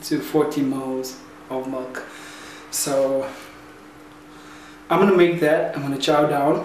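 A man talks at a fairly slow pace with fairly even intonation, with audible room echo and light background noise. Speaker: fitness vlogger. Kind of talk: casual vlog chat. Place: kitchen. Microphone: phone near.

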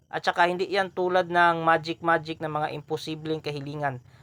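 At a moderate pace, a man with an ordinary speaking voice talks at a fairly high pitch with fairly even intonation. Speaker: YouTube host answering viewer questions on esoteric topics. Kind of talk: Q&A monologue video.

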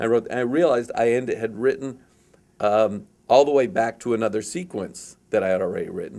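This man has a dark, mellow tone. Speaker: interviewee. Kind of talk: interview answer. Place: meeting room. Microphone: handheld.

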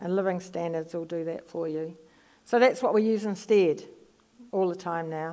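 A woman with a New Zealand accent, fairly low in pitch, with a dark, mellow tone, ordinary pitch variation and a moderate pace, against a quiet background. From New Zealand, Palmerston North. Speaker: psychology professor. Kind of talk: lecture; audience Q&A. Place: stage.

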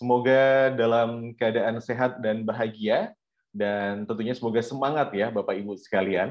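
Moderate-paced speech from a man against a quiet background. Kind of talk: formal event hosting. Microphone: earbuds.

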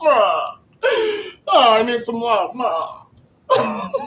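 A put-on character voice, whiny and fairly high-pitched. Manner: whiny, mocking.

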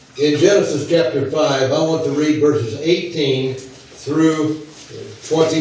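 Strong room echo surrounds a man with a fairly high pitch. He speaks very slowly with fairly even intonation. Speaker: visiting preacher. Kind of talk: sermon. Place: church.

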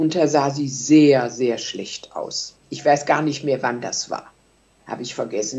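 A woman speaks at a fairly slow pace. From Germany, Solingen; Germany. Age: 80s+. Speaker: contemporary witness; witness. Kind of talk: interview reminiscence. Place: home room. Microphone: webcam.

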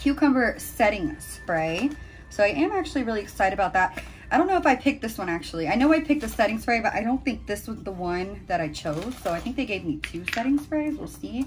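The voice swings very widely in pitch at a very fast pace. Light noise sits in the background. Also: woman. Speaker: beauty vlogger. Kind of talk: casual vlog chat. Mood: excited, cheerful. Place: home room. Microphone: phone near.

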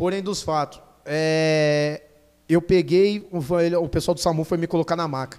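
A man's high voice at a fairly slow pace, with fairly even intonation over a quiet background. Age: 30s. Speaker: motorcycle stunt rider; podcast guest. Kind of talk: casual chat. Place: studio. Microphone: studio mic.

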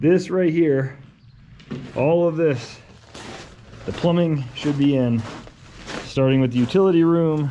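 Light background noise sits behind a man's voice. He talks at a fairly slow pace with fairly even intonation. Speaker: property owner vlogger. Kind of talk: casual vlog chat. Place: open country. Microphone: phone near.

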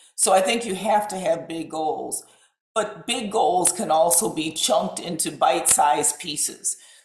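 Heard with audible room echo, a woman speaks at a very slow pace in a fairly low pitch with ordinary pitch variation. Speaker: epidemiologist, college president. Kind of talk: panel discussion. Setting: online live web event. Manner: hesitant, many fillers. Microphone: webcam.

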